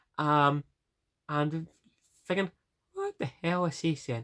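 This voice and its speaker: In a strong Northern Irish accent, a woman speaks at a very deep, low pitch, the sound dry and close with no echo. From Northern Ireland. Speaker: vlogger. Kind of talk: casual vlog. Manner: fast; halting.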